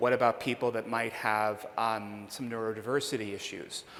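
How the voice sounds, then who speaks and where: An unremarkable speaking voice from a man with an American accent, medium pitch and a fairly quick pace. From Pittsburgh, US. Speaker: conference speaker on demographics. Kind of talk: conference Q&A. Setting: stage with audience.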